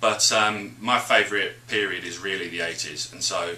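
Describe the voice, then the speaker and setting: Here a man speaks with a British accent. Noticeable background noise is present. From England. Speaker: radio DJ. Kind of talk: interview answer. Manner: energetic.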